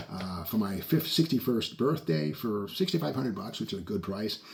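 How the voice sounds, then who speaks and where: A man speaks at a moderate pace, his pitch swinging very widely. Noticeable background noise runs under the recording. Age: 60s. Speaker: car and model-kit video host. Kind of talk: casual show-and-tell video. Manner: casual, with frequent fillers.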